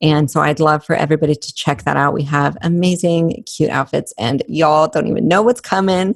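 A woman with a very deep, low pitch and a bubbly tone talks fairly quickly with hardly any pauses, in a dry, close sound with no echo. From New Mexico, Albuquerque. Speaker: fitness entrepreneur and coach. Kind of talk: casual interview chat.

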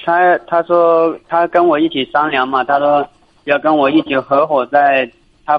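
A man's fairly high voice at a fairly slow pace, with fairly even intonation. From Jiangxi, China. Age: 20s. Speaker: caller. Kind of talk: phone call-in. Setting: phone call. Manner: halting. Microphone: poor phone line.

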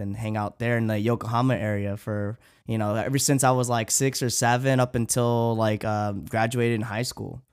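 In a very clean recording with a silent background, a man speaks fairly quickly at a medium pitch in a monotone, flat way. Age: 30s. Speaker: podcast host. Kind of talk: casual chat.

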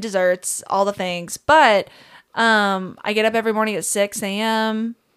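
With a Kentucky accent, a woman speaks at a moderate pace in a fairly high pitch. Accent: Southern US (Kentucky). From Kentucky, small town. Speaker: songwriter and musician. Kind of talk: casual chat. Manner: animated.

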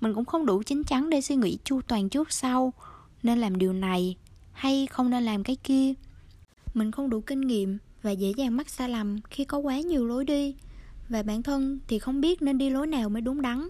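The voice has a dark, mellow tone, ordinary pitch variation and very even loudness at a moderate pace. The recording is very clean, with a silent background. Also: woman, high pitch for a woman. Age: 20s. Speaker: podcast host. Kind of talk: scripted narration.

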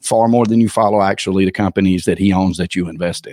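A man with a Southern US accent speaks with ordinary pitch variation. The recording is very clean with a silent background, and the sound is dry and close with no echo. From Georgia, US South. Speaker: personal branding consultant. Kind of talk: interview conversation. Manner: halting, many fillers.

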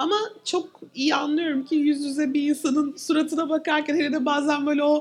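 A woman speaks with a high pitch at a moderate pace. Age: 30s. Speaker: psychologist. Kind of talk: live podcast conversation. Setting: venue with live audience.

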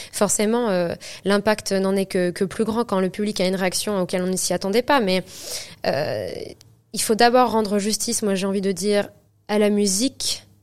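Recorded very cleanly with a silent background, a woman speaks at a medium pitch and a moderate pace. Her intonation is fairly even, and she takes long, frequent pauses. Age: 20s. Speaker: opera singer. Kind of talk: interview. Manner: halting.

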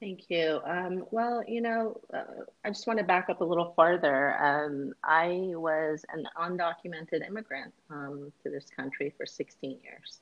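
Big swings in loudness mark a fairly slow delivery. It is an ordinary speaking voice. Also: woman, fairly low pitch for a woman, ordinary pitch variation. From Northern California. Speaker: attorney and city council candidate. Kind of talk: interview.

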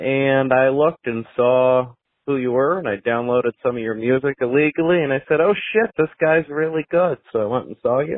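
Using an ordinary speaking voice, a man talks at a moderate pace and medium pitch with ordinary pitch variation and hardly any pauses. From upstate New York. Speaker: listener leaving a voicemail. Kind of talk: voicemail message.

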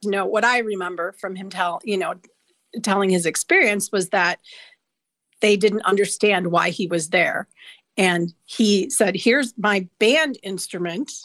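Speech comes at a fairly slow pace in an Upper Midwest accent, with ordinary pitch variation. The sound is dry and close, with no echo. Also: woman, medium pitch for a woman. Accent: Upper Midwest American. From Wisconsin, north of Milwaukee. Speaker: guest sharing personal story. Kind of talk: personal storytelling.

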